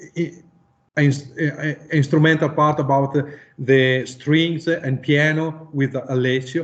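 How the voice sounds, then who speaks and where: In an Italian accent, a man with a fairly high pitch speaks at a very slow pace in a monotone, flat intonation. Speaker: musician. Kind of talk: interview. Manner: halting.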